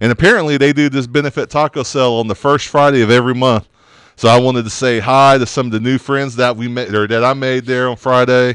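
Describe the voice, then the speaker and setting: Speaking with an American accent at a very fast pace, the voice keeps a fairly even intonation in a dry sound with no echo. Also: man, medium pitch for a man, quiet background. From Oklahoma. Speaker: radio show host. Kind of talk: casual chat; news reading. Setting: studio. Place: studio. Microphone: studio mic.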